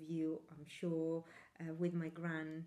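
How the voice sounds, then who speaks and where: Someone with an Italian accent talks at a fairly slow pace. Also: woman. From Italy. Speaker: knitting podcaster. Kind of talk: casual chat. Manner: hesitant, many fillers.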